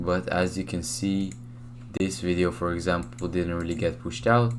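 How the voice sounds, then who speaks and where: Soft-spoken and very deep in pitch, a man talks at a moderate pace with lively intonation amid audible room echo. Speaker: YouTube shorts creator. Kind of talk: screen-share tutorial. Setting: home room. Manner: casual, filler-heavy.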